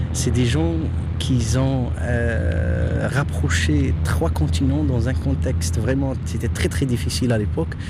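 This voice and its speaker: In a room with audible echo and noticeable background noise, a man speaks very slowly at a very deep, low pitch, with lively intonation and very even loudness. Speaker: local guide. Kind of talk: guided tour.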